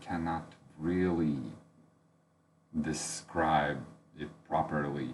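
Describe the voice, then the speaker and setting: Speech comes at a very slow pace in a Latvian accent, with ordinary pitch variation. Room echo is audible. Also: man. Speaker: book reviewer. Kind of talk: unscripted book review. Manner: halting, many fillers.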